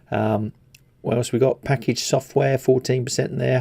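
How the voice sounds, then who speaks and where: Speaking with an English accent, a man has a dark, mellow tone. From England. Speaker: stock market commentator. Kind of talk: market analysis video. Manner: casual, with many fillers.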